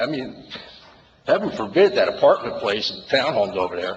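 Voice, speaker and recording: Noticeable background noise is present as a man moves through his words at a fairly quick pace. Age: 60s. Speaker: resident speaking at public comment. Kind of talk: public comment at town meeting. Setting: township committee meeting room. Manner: emotional, halting with repetitions.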